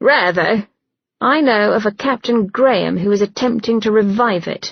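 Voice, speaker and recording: The speaker uses a put-on character voice. Pitch variation is ordinary. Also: woman, fairly high pitch for a woman, moderate pace. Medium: read story. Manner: blunt, clipped.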